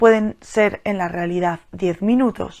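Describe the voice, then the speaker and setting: Very quietly and at a very slow pace, a woman speaks on a very clean recording with a silent background. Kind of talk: solo podcast monologue. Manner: speaking quietly; hesitant, repeats words.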